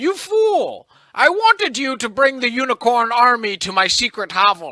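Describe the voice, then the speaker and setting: At a moderate pace, a man puts on a character voice pitched extremely high. He cackles. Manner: cackling, gleeful villain.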